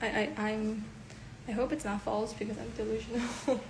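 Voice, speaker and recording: A woman talks at a fairly slow pace in a fairly high pitch. Noticeable background noise and audible room echo surround her voice. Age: 20s. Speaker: livestreamer and idol hopeful. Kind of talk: casual chat. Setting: Instagram live stream. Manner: filler-heavy, frequent 'like'.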